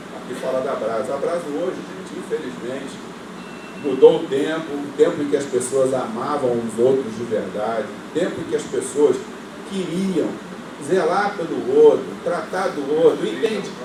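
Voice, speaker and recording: Over noticeable background noise and audible room echo, a man with a fairly high pitch talks at a moderate pace, his loudness swinging widely while his pitch varies in an ordinary way. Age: 70s. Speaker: engineer and ostomy patient advocate. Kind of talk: speech at an event. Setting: auditorium. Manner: emotional.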